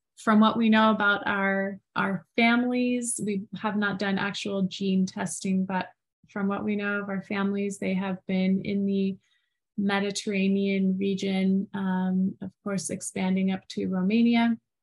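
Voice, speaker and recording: A woman's somewhat breathy voice, fairly slow, in a monotone, flat delivery. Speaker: podcast co-host. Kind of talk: casual conversation. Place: home room. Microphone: video call.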